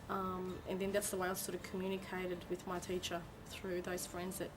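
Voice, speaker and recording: A woman with an Australian accent at a moderate pace, with audible room echo. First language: Turkish. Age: 20s. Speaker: migrant interviewee. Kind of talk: interview testimony.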